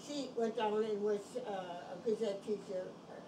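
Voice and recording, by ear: Clear background noise runs under a woman's medium-pitched voice. She keeps a moderate pace and fairly even intonation.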